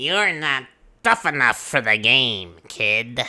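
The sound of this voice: A put-on character voice from a man of medium pitch at a very slow pace, on a very clean recording with a silent background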